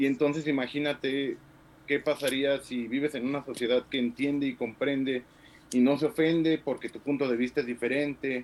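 The speech comes at a moderate pace. Its intonation is flat and monotone. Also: man, fairly high pitch for a man. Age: 30s. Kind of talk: discussion.

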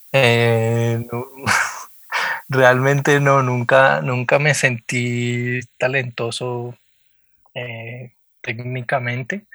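Speaking at a very slow pace with long, frequent pauses, the voice has a bright, sharp tone and fairly even intonation in a dry, close recording with no echo. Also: man, medium pitch for a man. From Colombia, Popayán. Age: 30s. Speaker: visual artist. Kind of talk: interview. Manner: hesitant, many fillers.

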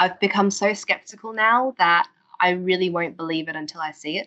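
A woman at a medium pitch, with an Australian accent. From Australia, Queensland. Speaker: political campaigner. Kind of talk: podcast interview. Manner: animated.

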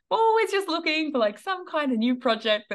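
Very wide pitch swings from a woman, delivered at a moderate pace. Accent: Australian. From Australia. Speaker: online business coach. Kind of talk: interview.

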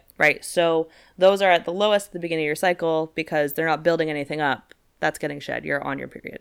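This woman's voice sits very deep and low, with fairly even intonation. She speaks at a very fast pace. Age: 20s. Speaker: podcast co-host. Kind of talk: casual chat.

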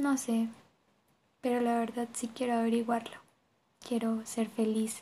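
A woman with a fairly high pitch, a dark, mellow tone and monotone, flat intonation, at a fairly slow pace. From Colombia, Bogotá. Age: 20s. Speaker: university student. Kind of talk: personal testimony.

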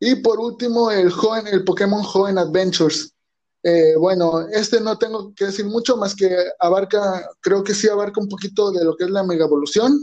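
Speaking at a moderate pace, a man uses a high pitch with ordinary variation and a dark, mellow tone. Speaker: podcast host. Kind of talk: casual chat. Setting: small home studio. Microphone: recording on phone.

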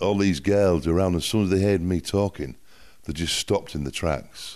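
Over a quiet background, a man with a Yorkshire accent speaks at a very deep, low pitch with fairly even intonation. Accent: northern English (Yorkshire). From northern England, Hull (Yorkshire). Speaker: music producer. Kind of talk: casual interview chat. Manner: halting, with many fillers.

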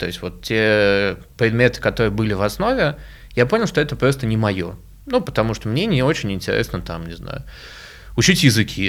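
A man at a moderate pace, with long, frequent pauses, on a very clean recording against a silent background. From Moscow, Russia. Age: 20s. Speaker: education entrepreneur. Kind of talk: interview.

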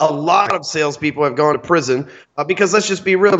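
In a Texan accent, the speaker talks at a very fast pace with ordinary pitch variation. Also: man, fairly high pitch for a man. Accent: Texan, Southern US. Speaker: guest, sales trainer. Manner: loud, salesman-like.

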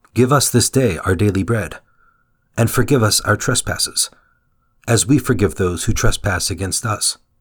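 On a very clean recording with a silent background, a somewhat breathy man speaks at medium pitch and a moderate pace. His pitch varies in an ordinary way, and he leaves long, frequent pauses. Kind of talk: guided prayer meditation. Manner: fervent, devout, earnest prayer.

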